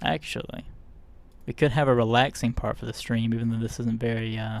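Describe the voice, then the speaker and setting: A man with a normal speaking voice, medium in pitch, with fairly even intonation and a fairly quick pace. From US South. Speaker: streamer. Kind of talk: casual chat. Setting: live stream.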